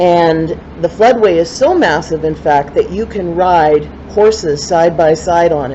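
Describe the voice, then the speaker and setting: Against noticeable background noise, a woman speaks at a fairly slow pace in a fairly low pitch with ordinary pitch variation. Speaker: poet. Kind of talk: spoken word introduction. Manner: casual, with fillers.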